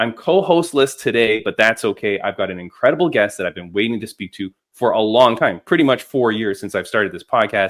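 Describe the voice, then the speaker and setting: Lively intonation marks this man's fairly quick speech, with hardly any pauses, at medium pitch. His is an unremarkable speaking voice. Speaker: podcast host; combat sports commentator. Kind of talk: podcast intro.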